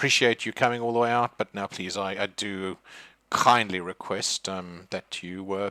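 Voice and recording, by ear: A natural voice is used to read the text aloud.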